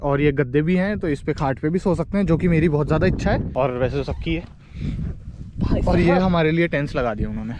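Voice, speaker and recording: A man speaks at a fairly high pitch with ordinary variation. Noticeable background noise runs underneath. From Jaipur, Rajasthan, India. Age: 20s. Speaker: travel vlogger. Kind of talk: casual talk to camera. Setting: outdoors.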